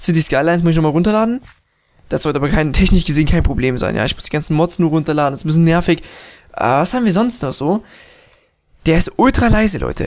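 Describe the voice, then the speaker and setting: The pace is very fast. Long, frequent pauses break it up. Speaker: gaming YouTuber. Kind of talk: let's play commentary. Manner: casual, slightly unfluent.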